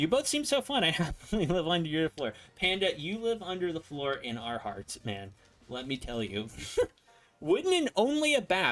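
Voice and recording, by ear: A man speaks at a moderate pace with a fairly high pitch and a fairly bright tone. His pitch swings widely.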